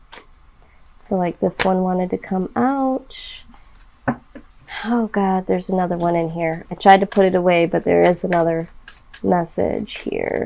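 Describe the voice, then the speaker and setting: Her tone is dark and mellow, at a medium pitch for a woman. She speaks at a fairly slow pace with ordinary pitch variation. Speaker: tarot reader. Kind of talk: tarot reading. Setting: indoors, fan off. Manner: low energy.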